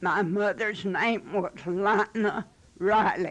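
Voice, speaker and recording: At a very slow pace, a woman in a Western Kentucky accent keeps her intonation fairly even. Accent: rural Western Kentucky, US South. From Western Kentucky (Marshall County). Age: 80s+. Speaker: elderly interviewee. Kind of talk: oral history interview. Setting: her home.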